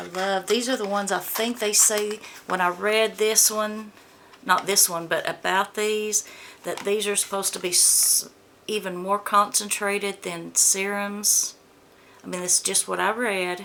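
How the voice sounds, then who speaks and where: A woman with an American accent speaks at a fairly slow pace in monotone, flat intonation. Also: medium pitch for a woman. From US South, Georgia. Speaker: beauty vlogger. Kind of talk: product unboxing review. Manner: casual, chatty.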